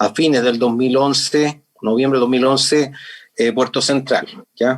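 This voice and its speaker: Speaking at a medium pitch, a man keeps his intonation monotone and flat. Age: 60s. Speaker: HR manager. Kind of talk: webinar talk.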